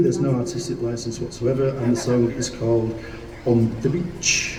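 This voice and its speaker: A man speaks at a fairly quick pace amid audible room echo and noticeable background noise. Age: 60s. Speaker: rock singer. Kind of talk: onstage storytelling. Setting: live gig in a shop with audience.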